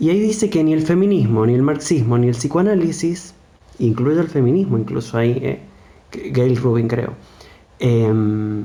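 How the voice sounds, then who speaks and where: Amid audible room echo, a man speaks at a medium pitch and moderate pace with lively intonation. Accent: Argentine. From Argentina, mountain province outside Buenos Aires. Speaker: psychologist. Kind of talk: casual discussion.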